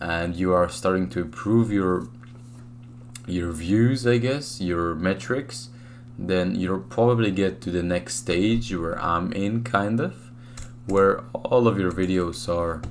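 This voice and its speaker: With a very deep, low pitch and lively intonation, a man speaks at a very slow pace amid audible room echo. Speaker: YouTube shorts creator. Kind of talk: screen-share tutorial. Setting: home room. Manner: soft-spoken; casual, filler-heavy.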